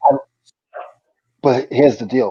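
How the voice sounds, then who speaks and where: A man with a New England accent. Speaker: reseller. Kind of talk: casual chat.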